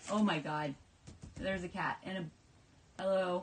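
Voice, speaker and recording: Noticeable background noise runs under speech at a moderate pace with ordinary pitch variation. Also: woman. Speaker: comic book podcast co-host. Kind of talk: casual chat.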